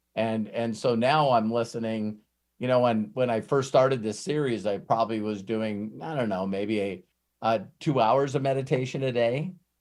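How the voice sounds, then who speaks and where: At a moderate pace, a man speaks. His pitch is medium, with ordinary pitch variation. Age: 60s. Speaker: personal development coach. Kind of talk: casual group training chat. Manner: animated; repetitive, halting restarts.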